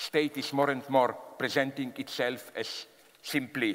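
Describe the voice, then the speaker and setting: With a Slavic accent, a man speaks at a medium pitch and a fairly slow pace. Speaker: philosopher giving a public talk. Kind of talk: public lecture to a live audience.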